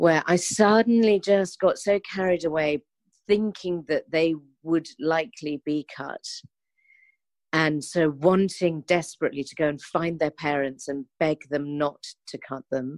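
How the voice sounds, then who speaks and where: Here a woman with a London accent speaks fairly slowly in a very deep, low voice. Her loudness swings a lot, while her pitch varies in an ordinary way. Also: dry, close sound with no echo. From London, England. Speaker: charity founder and activist. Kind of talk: interview.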